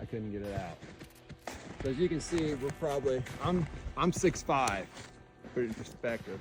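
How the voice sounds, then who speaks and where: A man's medium-pitched voice with an American accent and lively intonation, broken by long, frequent pauses, over noticeable background noise. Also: moderate pace. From Indiana, US Midwest. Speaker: deer hunter. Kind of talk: casual first-person hunting story told on location. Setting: outdoors in the woods at the tree stand. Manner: casual, halting with fillers and repeats.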